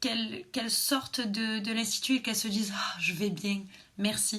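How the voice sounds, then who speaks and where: A woman speaks at a moderate pace with fairly even intonation. Some room echo can be heard. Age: 20s. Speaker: beautician. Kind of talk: personal vlog monologue. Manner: hesitant, many fillers.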